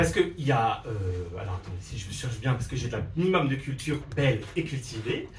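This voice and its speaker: Somewhat breathy and animated, a man with an Alsatian accent speaks with lively intonation amid audible room echo. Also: medium pitch for a man, fairly quick pace. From Alsace, France. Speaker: drag queen comedian. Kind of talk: stand-up. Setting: stage with audience.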